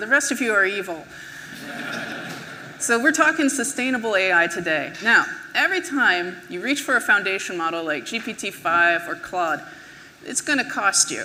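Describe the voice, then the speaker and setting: A woman with an American accent and medium pitch makes very wide pitch swings at a moderate pace, with audible room echo and noticeable background noise. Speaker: conference speaker, web engineer. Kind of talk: conference talk. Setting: stage with audience.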